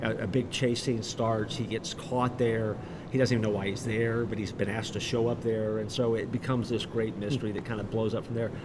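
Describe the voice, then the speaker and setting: A man with an American accent talks at a very fast pace in a monotone, flat intonation. Audible room echo and noticeable background noise surround him. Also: medium pitch for a man. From Florida, Orlando. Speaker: pastor and author. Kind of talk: interview. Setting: live event.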